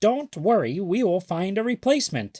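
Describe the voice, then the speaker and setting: A man puts on a character voice, high in pitch, at a moderate pace. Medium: read story.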